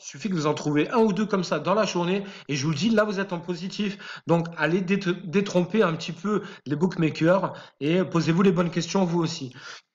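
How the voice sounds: A man puts on a hoarse character voice, high in pitch. He talks at a fairly quick pace with fairly even intonation.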